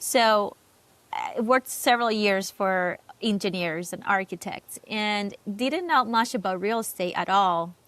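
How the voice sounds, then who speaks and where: In a very clean recording with a silent background, a woman with a Cuban accent speaks at a fairly slow pace, her medium pitch showing ordinary variation. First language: Spanish. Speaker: real estate agent. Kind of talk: interview. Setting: podcast.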